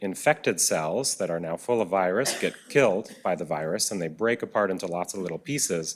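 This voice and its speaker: Speaking with a Minnesota accent is a man. His pitch is very deep and low. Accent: flat Minnesota. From US Midwest, Minnesota. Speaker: physician speaker. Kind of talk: lecture. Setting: auditorium with audience.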